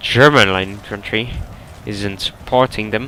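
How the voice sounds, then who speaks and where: A man speaks with an Eastern European accent and fairly even intonation. Noticeable background noise runs under his voice. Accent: Slavic. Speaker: game match commentator. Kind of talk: video game match commentary.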